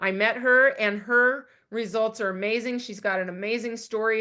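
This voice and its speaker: A woman speaks at a moderate pace in a fairly high pitch with a bright, sharp tone. Her intonation stays fairly even over a quiet background. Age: 60s. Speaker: network marketing consultant. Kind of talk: sales presentation.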